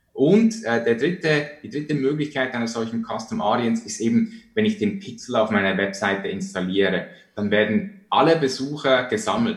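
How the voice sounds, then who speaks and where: A man's fairly high, somewhat breathy voice at a moderate pace, with hardly any pauses and very wide pitch swings. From Switzerland. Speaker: online marketing entrepreneur. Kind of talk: interview.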